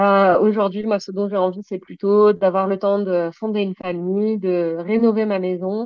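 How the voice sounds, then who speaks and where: A woman's medium-pitched voice, monotone and flat, at a fairly slow pace with hardly any pauses. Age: 30s. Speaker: equestrian business owner. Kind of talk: personal testimony.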